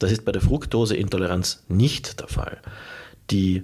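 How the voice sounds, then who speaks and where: A somewhat breathy voice on a very clean recording with a silent background. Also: man. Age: 40s. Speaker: nutrition biologist, podcast host. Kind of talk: educational monologue. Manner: formal.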